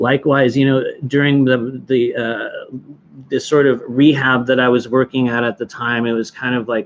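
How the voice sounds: A man at medium pitch and moderate pace, with little pitch movement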